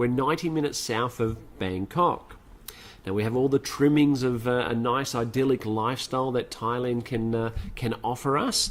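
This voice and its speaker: Here a man speaks with an Australian accent. His intonation is fairly even and his pace moderate. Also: medium pitch for a man. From Australia (Sydney area). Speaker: motivational speaker. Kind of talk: webinar presentation.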